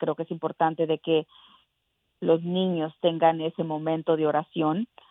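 Her pitch fairly low, a woman speaks at a moderate pace with monotone, flat intonation. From Mexico, raised in South Texas. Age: young. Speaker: congressional candidate. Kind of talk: political interview. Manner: hesitant with repetitions.

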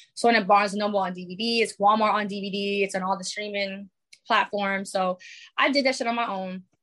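A woman with a New York accent speaks at a fairly quick pace with fairly even intonation. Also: medium pitch for a woman. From New York, the Bronx. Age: 20s. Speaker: musician and filmmaker. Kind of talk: casual interview.

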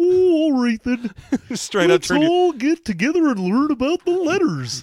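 This put-on character voice is female-sounding, with a high pitch. It moves at a fairly slow pace. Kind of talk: children's show host. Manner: goofy, sing-song.

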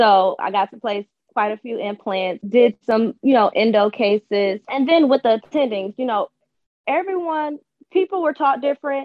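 Big swings in loudness mark a woman's high-pitched voice, delivered at a moderate pace with an American accent. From Detroit, US Midwest. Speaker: dentist. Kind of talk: interview.

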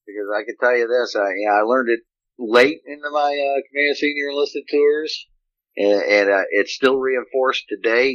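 At a moderate pace, a man talks in a normal speaking voice, his pitch medium and his pitch variation ordinary. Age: 50s. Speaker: retired navy senior enlisted, leadership consultant. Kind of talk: interview on leadership.

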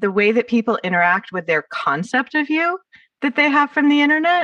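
With an American accent, a bright, sharp voice moves at a fairly quick pace through very wide pitch swings, in a dry, close sound with no echo. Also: woman. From California, Los Angeles area. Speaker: podcast host. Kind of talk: casual interview chat.

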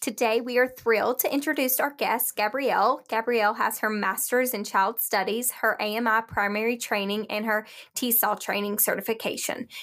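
This woman has a normal speaking voice, fairly high in pitch, delivered at a fairly quick pace with fairly even intonation. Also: hardly any pauses. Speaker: podcast co-host. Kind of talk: scripted intro and interview.

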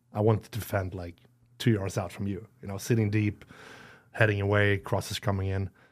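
With a Swedish accent, a man talks at a fairly quick pace in a fairly low pitch, his intonation monotone and flat, his loudness swinging widely, with long, frequent pauses on a very clean recording against a silent background. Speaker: retired footballer. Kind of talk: casual chat. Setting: studio. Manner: halting.

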